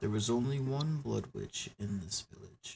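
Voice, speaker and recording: A man with a medium pitch booms in a put-on character voice at a moderate pace. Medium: actual play. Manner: terse, imperious.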